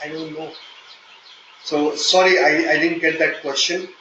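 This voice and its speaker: A man's moderate-paced speech comes through audible room echo, with noticeable noise in the background. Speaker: software testing trainer. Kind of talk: live online training session. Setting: online meeting. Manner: hesitant, with fillers.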